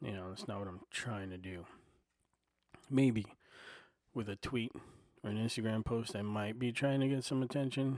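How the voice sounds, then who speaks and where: Soft-spoken, a man talks at a moderate pace with a medium pitch. His pitch varies in an ordinary way, broken by long, frequent pauses. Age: 40s. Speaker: podcaster and aspiring comedian. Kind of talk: casual solo monologue. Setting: home recording on a portable recorder. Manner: soft-spoken, filler-heavy; not loud, laid-back listener.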